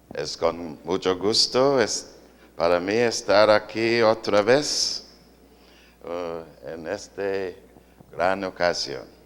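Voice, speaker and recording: A man with an English accent, fairly low in pitch, at a very slow pace with ordinary pitch variation and long, frequent pauses. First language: English (speaking Spanish). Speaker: visiting pastor. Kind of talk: sermon with interpreter.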